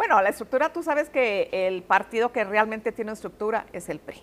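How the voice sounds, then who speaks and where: At a fairly quick pace, a woman talks in an ordinary speaking voice with a fairly high pitch. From Mexico, Ciudad Juárez. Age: 50s. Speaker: politician, candidate. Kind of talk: interview.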